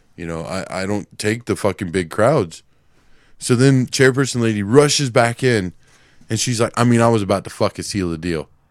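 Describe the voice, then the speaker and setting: Delivered at a moderate pace, a normal speaking voice comes through on a very clean recording with a silent background. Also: man, fairly low pitch for a man, ordinary pitch variation. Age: 30s. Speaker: podcast co-host. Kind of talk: casual chat. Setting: live podcast recording.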